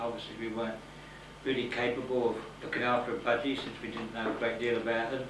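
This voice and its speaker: Amid noticeable background noise and audible room echo, a man talks at a fairly quick pace in a medium pitch with monotone, flat intonation. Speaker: lighthouse keeper. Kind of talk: interview. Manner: relaxed.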